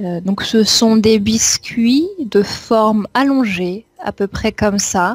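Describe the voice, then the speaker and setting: A woman with a fairly high, somewhat breathy voice speaks at a very slow pace with hardly any pauses, the sound dry and close with no echo. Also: ordinary pitch variation. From France, Champagne region. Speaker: French language teacher. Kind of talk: interview.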